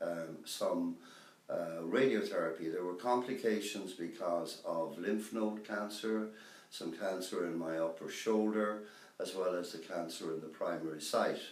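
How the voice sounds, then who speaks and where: With a western Irish accent, a man speaks at a fairly slow pace and a fairly low pitch, and room echo is audible. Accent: Irish (west of Ireland). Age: 60s. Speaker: cancer patient. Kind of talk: testimony. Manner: hesitant, many fillers.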